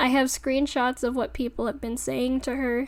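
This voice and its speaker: In a tearful tone, a woman speaks at a moderate pace with a high pitch. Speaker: video essayist. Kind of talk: commentary monologue. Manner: sounds tearful.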